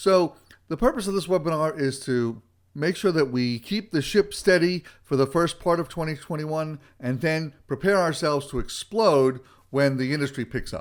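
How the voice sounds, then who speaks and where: Speaking at a moderate pace, a man uses a fairly high pitch, ordinary pitch variation and an animated tone. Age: 60s. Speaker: retail consultant. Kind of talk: webinar presentation. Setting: webinar.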